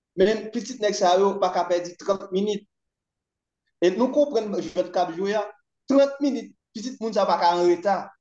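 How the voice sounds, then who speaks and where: A dark, mellow tone moves at a moderate pace with ordinary pitch variation and audible room echo. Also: man, high pitch for a man. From Haiti. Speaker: commentator on Haitian politics. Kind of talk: political discussion. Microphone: video call.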